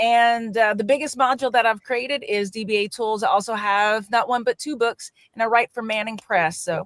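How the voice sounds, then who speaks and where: A woman in a Louisiana accent at a fairly quick pace, with ordinary pitch variation, hardly any pauses, and a dry, close sound with no echo. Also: fairly high pitch for a woman. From US South, Louisiana. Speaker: software developer and author. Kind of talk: self-introduction on panel.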